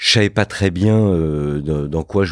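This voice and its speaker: A man talks with a very deep, low pitch and very wide pitch swings. He goes at a fairly slow pace. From Paris suburbs, France (Fontenay-sous-Bois). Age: 50s. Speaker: entrepreneur and investor. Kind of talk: interview. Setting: his office. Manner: hesitant, repeats words.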